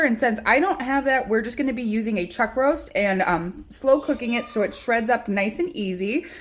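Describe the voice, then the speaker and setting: Speaking at a moderate pace in an American accent, a woman uses lively intonation at a fairly high pitch. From Chicago area, US Midwest. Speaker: home cooking vlogger. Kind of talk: cooking tutorial. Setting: home kitchen. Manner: casual, frequent filler words.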